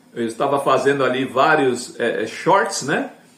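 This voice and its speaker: Noticeable background noise fills the recording. Through it, a man talks fairly slowly. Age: 60s. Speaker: evangelical YouTuber. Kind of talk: casual evangelistic talk to camera. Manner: conversational, filler-heavy.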